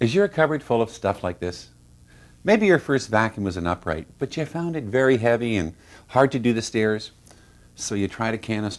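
Lively intonation marks this man's speech, which moves at a moderate pace. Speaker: company founder presenting product. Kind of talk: TV infomercial product pitch. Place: studio. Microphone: lapel.

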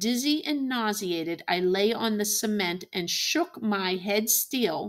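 Someone reads in a natural voice.

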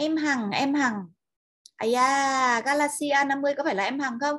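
A woman with a high pitch and a bright, sharp tone talks at a fairly slow pace. She uses ordinary pitch variation against a quiet background. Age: 50s. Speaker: online seminar presenter. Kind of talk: lecture. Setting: online webinar. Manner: animated, enthusiastic. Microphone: video call.

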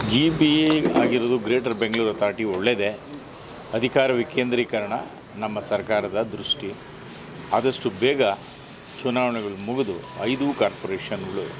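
Noticeable background noise sits behind this man. His voice is medium in pitch, with ordinary pitch variation. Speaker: local politician. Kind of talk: interview. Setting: outdoors.

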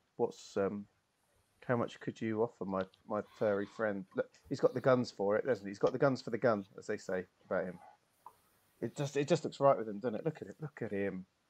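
With a British accent, a man talks at a fairly quick pace with ordinary pitch variation, though long, frequent pauses break up his speech. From United Kingdom. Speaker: tabletop role-playing game player and stream host; stream host. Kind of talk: live-streamed tabletop role-playing session, casual banter. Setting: live stream. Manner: animated, jokey. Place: home room.

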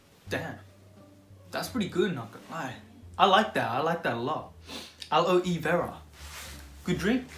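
Faint music plays in the background as a man speaks at a moderate pace with big swings in loudness, his voice carrying audible room echo. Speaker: vlogger. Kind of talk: casual vlog chat. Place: home room. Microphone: phone near.

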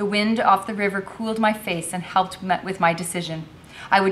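The words are read out loud in a plain manner.

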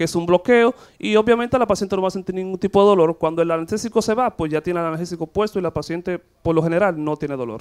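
Against a quiet background, a man talks with a high pitch. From Dominican Republic. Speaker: gynecologist. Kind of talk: TV interview. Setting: studio. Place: studio. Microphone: handheld.

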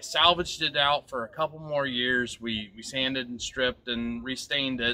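At a moderate pace, a man talks over light background noise. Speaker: homeowner DIY vlogger. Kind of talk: casual vlog chat. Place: garden. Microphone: phone near.

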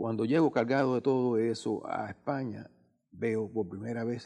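At a moderate pace and medium pitch, a man speaks in a dark, mellow tone with ordinary pitch variation against a quiet background. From Cuba, Guanabacoa near Havana; Cuba. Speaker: painter; interviewee. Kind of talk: TV interview. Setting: TV studio. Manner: halting, many fillers. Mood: calm, reflective. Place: studio.

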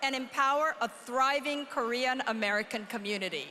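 Her voice raised and projected, a woman speaks at a moderate pace with ordinary pitch variation. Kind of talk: formal speech. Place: hall. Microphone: podium.

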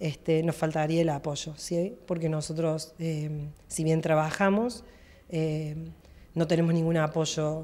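A woman speaks with a dark, mellow tone. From Argentina, Villa María (Córdoba); Córdoba, Argentina. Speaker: masters athlete. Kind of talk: interview. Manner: hesitant, many fillers. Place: office. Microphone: handheld.

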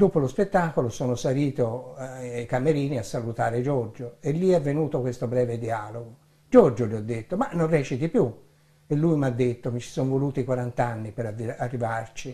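A man's somewhat breathy, dark, mellow voice at a moderate pace. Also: ordinary pitch variation. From Italy, Florence; Italy. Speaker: theatre director and author. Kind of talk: book presentation. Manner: formal. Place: home room.

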